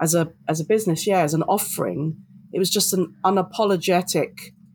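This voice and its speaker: In a very clean recording with a silent background, a woman speaks fairly quickly with fairly even intonation in a London accent. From London, England. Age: 40s. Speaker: diversity and inclusion consultant. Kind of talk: interview.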